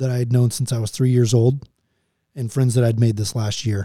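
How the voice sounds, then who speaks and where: A dark, mellow tone comes through with an American accent. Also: man. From Texas. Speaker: military pilot. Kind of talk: interview.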